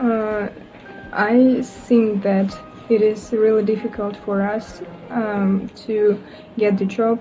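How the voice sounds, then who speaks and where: A woman with a Russian accent at a medium pitch, monotone and flat in intonation, with noticeable background noise. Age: 20s. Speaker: university student. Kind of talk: casual interview. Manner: halting, many fillers.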